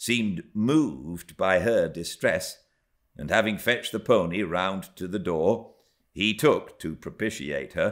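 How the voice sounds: A natural reading voice comes through with only a quiet background behind it.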